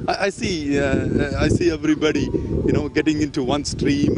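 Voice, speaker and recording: The voice moves at a moderate pace with fairly even intonation over noticeable background noise. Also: man. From India. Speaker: sports fan, tourist. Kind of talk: street interview. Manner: halting.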